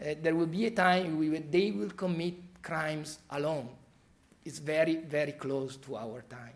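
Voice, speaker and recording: A man with an Italian accent speaks in a fairly high pitch. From Italy. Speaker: criminology professor. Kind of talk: expert talk.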